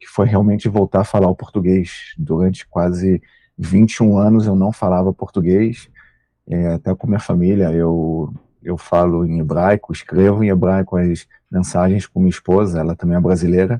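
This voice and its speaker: A man speaks at a very deep, low pitch with a dark, mellow tone, at a moderate pace and with fairly even intonation. The sound is dry and close, with no echo. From Brazil. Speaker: military spokesman. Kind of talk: interview.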